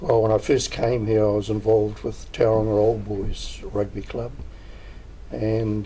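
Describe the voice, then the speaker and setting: Moderate pace in a New Zealand accent. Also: man. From New Zealand, Gisborne. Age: old. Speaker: rugby volunteer. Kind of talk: interview. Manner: halting, many fillers.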